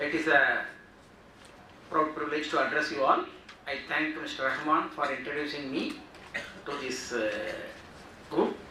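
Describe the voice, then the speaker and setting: Speaking at a moderate pace with long, frequent pauses, a man uses a fairly high pitch and a monotone, flat intonation. Audible room echo and noticeable background noise fill the recording. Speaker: GST workshop speaker. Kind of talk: lecture. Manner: loud.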